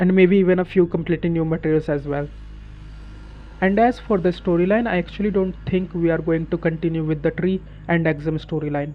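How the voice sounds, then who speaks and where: Talking at a fairly quick pace, a man with a non-native accent uses a high pitch and fairly even intonation. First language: not English. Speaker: gaming YouTuber. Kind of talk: scripted narration.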